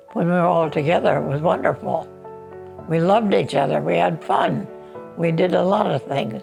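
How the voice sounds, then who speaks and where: With music in the background, a woman speaks at a moderate pace with an American accent. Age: 80s+. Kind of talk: interview answer.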